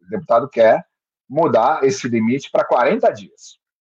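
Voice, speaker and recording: A man talks with a dry, close sound and no echo. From Brazil, Santos (São Paulo coast). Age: 50s. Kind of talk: interview.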